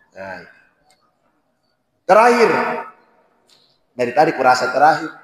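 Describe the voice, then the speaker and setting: There is audible room echo around a man's voice. He speaks at a fairly high pitch with very wide pitch swings. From Sulawesi, Indonesia (born in Poso). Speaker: Islamic preacher. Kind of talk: sermon. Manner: slow.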